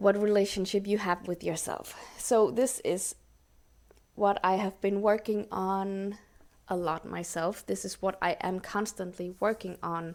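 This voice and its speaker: A woman at medium pitch with a non-native accent, fairly even intonation and a fairly slow pace. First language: not English. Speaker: podcast host. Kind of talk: solo podcast talk. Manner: halting, searching for words.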